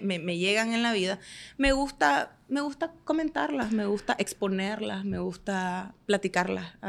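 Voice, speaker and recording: On a very clean recording with a silent background, a woman's pitch swings very widely. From Nicaragua, Estelí. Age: 30s. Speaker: manicurist and entrepreneur. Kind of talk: podcast interview.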